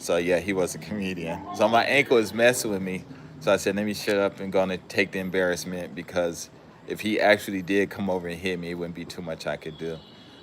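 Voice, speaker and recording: A man with an American accent speaks at a very fast pace in a very deep, low pitch. His intonation stays fairly even while his loudness swings widely. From Southern California. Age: 60s. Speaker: live streamer. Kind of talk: casual livestream chat. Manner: halting, many fillers.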